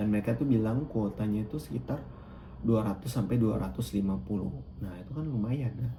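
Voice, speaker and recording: Somewhat breathy and fairly low in pitch, a man speaks with lively intonation in a space with audible room echo. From Sumba, East Nusa Tenggara, Indonesia. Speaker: scholarship student vlogger. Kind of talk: casual tutorial vlog. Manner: casual, with frequent fillers.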